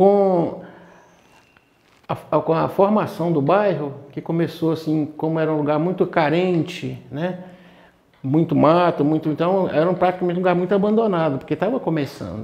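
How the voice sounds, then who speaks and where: Moderate pacing and ordinary pitch variation in a high-pitched male voice. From Governador Valadares, Minas Gerais, Brazil. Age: 60s. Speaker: parishioner interviewed about parish history. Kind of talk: interview reminiscence. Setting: parish confession room. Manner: hesitant, many fillers.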